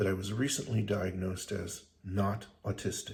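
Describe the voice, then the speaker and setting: A man with a fairly low pitch and a somewhat breathy voice talks at a moderate pace. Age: 60s. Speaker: vlogger. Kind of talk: casual monologue. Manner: halting.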